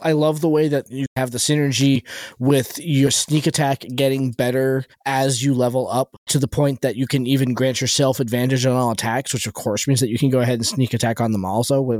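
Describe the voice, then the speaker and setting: The recording has a dry, close sound with no echo, carrying an unremarkable speaking voice at a fairly quick pace. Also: man, medium pitch for a man. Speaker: podcast host. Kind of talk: casual chat about game rules; infomercial-style promo read. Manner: bright, upbeat salesman pitch.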